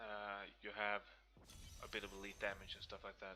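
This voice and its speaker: This man speaks at a fairly slow pace. He has a Swedish accent. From Sweden. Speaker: gaming video creator. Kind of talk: gameplay commentary. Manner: casual, hesitant with many fillers.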